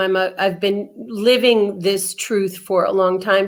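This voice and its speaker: Speaking at a fairly slow pace, a woman has a medium pitch and a normal speaking voice. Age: 60s. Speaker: author and radio host. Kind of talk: interview.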